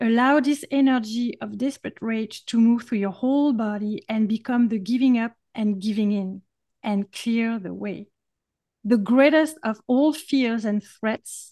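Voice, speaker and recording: Against a quiet background, a woman with a French accent speaks at a fairly high pitch and fairly slow pace, using a dark, mellow tone and ordinary pitch variation. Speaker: podcast host.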